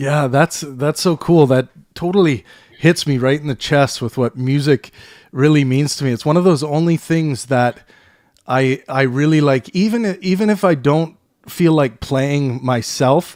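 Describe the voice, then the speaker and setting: In a Canadian accent and a normal speaking voice, a man talks at a fairly slow pace with a fairly high pitch and ordinary pitch variation, recorded very cleanly against a silent background. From western Canada (British Columbia). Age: 30s. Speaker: podcast host. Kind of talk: casual chat.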